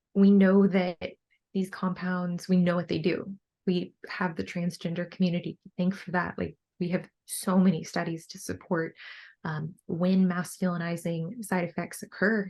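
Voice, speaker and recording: A somewhat breathy woman at a moderate pace, with fairly even intonation and big swings in loudness, against a quiet background. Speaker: bikini bodybuilder and coach. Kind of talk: podcast interview. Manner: many fillers like 'like' and 'um'.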